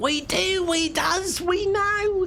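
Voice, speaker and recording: With clear background noise behind it, a put-on character voice comes through squeaky and at an extremely high pitch. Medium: game stream. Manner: pleading, frightened.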